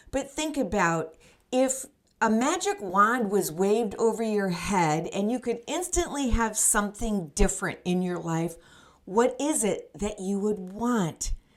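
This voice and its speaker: Using an ordinary speaking voice, a woman talks with lively intonation at a fairly high pitch. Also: fairly slow pace. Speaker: life coach. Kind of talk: motivational podcast talk to camera. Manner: upbeat, encouraging.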